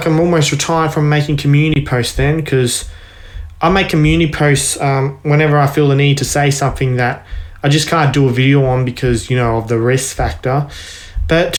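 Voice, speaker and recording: A man talks at a fairly quick pace in a fairly high pitch, with fairly even intonation and very even loudness. His is an unremarkable speaking voice. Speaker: online video creator.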